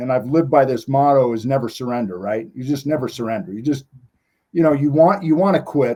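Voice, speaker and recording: With an American accent, a man talks at a fairly quick pace in a fairly high pitch, his dark, mellow tone carrying ordinary pitch variation. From Montana. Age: 60s. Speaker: former TV competition athlete. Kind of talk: interview.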